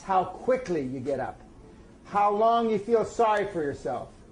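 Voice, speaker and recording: Noticeable background noise runs under a speaker with an American accent who talks at a moderate pace. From US, East Los Angeles. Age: 60s. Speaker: motivational speaker and author. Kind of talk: interview.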